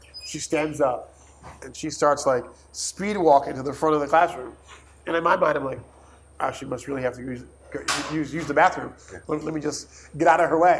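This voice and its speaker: The speaker moves at a fairly quick pace with fairly even intonation. Noticeable background noise sits behind the voice. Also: man. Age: 40s. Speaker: nonprofit founder and hip hop artist. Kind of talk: interview conversation.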